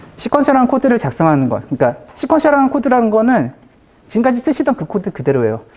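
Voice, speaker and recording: A man speaks at a very fast pace. His pitch is extremely high, with very wide swings. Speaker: conference speaker, software developer. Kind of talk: technical conference talk.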